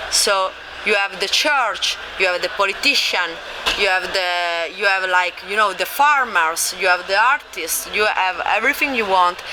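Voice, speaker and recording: Noticeable background noise behind a woman's moderately paced speech, medium in pitch, with ordinary pitch variation. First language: not English. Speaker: game publisher. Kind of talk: convention interview. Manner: halting.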